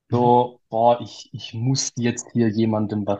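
A man speaks in a Swabian accent. His pitch is medium and his pace fairly slow. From Swabia, Germany. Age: 20s. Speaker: financial planning entrepreneur. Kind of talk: interview storytelling.

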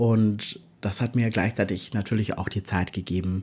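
Somewhat breathy and dark and mellow in tone, a man speaks at a fairly low pitch with fairly even intonation. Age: 40s. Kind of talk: interview testimony. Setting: video call.

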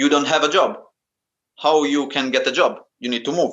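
The pace is moderate, with long, frequent pauses. The speaker has an Italian accent and ordinary pitch variation. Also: man. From Italy. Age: 20s. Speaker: calisthenics athlete. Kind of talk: interview. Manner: halting.

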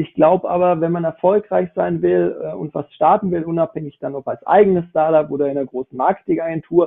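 In a plain, everyday voice, a man talks at a fairly quick pace with a fairly high pitch and ordinary pitch variation. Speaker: esports business founder. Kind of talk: panel discussion. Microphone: phone mic, quality could be better.

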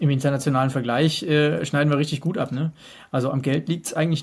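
A man talks at a very fast pace in a fairly high pitch, his voice somewhat breathy and his intonation fairly even, on a very clean recording with a silent background. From Hesse, Germany. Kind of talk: casual interview.

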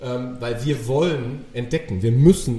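A man speaks at a moderate pace with a dark, mellow tone. His voice is somewhat breathy, with ordinary pitch variation. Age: 40s. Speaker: podcast guest, coach. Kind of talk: casual interview conversation.

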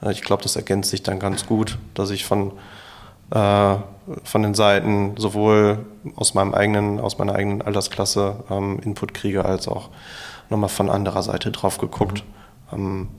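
With long, frequent pauses, a man speaks at a moderate pace in a fairly low voice with monotone, flat intonation. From Bochum, Ruhr area, Germany. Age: 30s. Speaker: real estate agent, business owner. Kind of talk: interview. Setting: office showroom.

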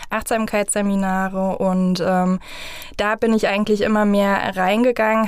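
A woman's voice at a medium pitch, with monotone, flat intonation. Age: 30s. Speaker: family coach. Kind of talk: interview.

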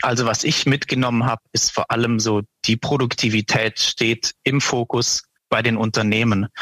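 Here a man of medium pitch speaks at a moderate pace with very even loudness, monotone, flat intonation, and a bright, sharp tone, in a dry, close sound with no echo. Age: 20s. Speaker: portfolio manager. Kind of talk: interview.

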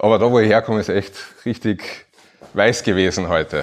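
The man's pitch sits fairly low. His intonation is monotone and flat. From Upper Austria. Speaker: administrative lawyer. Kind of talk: live podcast talk before audience. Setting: stage with audience.

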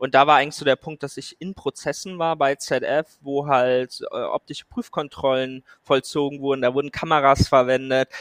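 A man in a normal speaking voice, fairly high in pitch with fairly even intonation, at a moderate pace with hardly any pauses, big swings in loudness, and a dry, close sound with no echo. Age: 20s. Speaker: AI startup founder. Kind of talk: interview.

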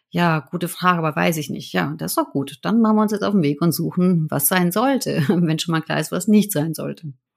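A woman talks at a fairly quick pace with hardly any pauses, her pitch fairly low with ordinary variation and some vocal fry. The recording is very clean, with a silent background. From Germany. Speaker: change management consultant. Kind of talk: interview.

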